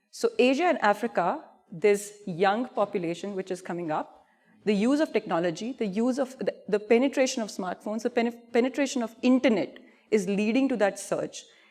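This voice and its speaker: A woman in an Indian accent speaks at a fairly quick pace, her fairly high pitch showing ordinary pitch variation. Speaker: payments industry expert presenting. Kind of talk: conference presentation. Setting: stage with audience. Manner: animated.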